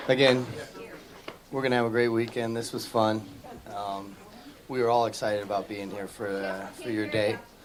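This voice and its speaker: Noticeable background noise and audible room echo surround a man's fairly low voice. He speaks in a flat monotone with long, frequent pauses. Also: moderate pace. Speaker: chef. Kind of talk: short speech to guests. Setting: dinner party with guests. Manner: usually very loud; talking quietly today.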